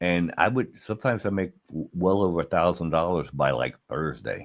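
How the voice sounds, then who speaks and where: Over a quiet background, a man with a very deep, low pitch and vocal fry speaks at a moderate pace with ordinary pitch variation. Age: 60s. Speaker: podcast host, former adult film performer. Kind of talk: casual chat. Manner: halting.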